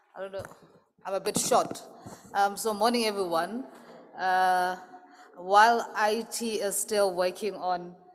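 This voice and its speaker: A woman's medium-pitched voice at a fairly slow pace, with fairly even intonation. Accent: Lesotho. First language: Sesotho. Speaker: associate professor. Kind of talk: conference presentation.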